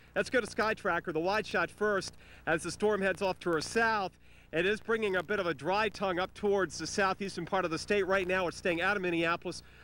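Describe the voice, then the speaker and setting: A man projects a raised voice with a bright, sharp tone at a fairly quick pace and fairly even intonation. The sound is dry with no echo, over light background noise. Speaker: TV weather reporter. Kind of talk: live weather report. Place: street. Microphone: handheld.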